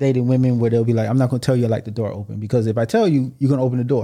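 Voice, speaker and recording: Very clean audio with a silent background, carrying a dark, mellow tone. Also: man. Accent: American. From United States, Haitian family. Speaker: podcast guest. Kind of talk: casual chat.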